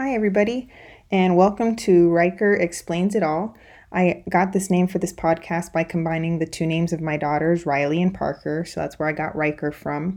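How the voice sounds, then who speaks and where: A woman with a fairly low voice speaks at a fairly quick pace, her pitch moving in an ordinary way over a quiet background. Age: 30s. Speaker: podcast host. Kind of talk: personal monologue.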